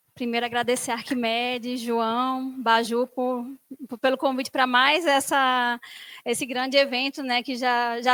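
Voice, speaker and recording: Raised and projected, a woman's high-pitched voice with a bright, sharp tone comes through dry and close with no echo, in a Recife accent. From Brazil, Recife (Pernambuco). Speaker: biomedical engineer and conference speaker. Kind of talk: conference talk. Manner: casual, filler-heavy.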